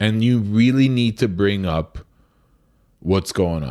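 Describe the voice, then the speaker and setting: A man with a normal speaking voice talks at a fairly slow pace, his fairly low pitch showing ordinary variation. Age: 30s. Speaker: restaurant owner. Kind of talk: casual interview.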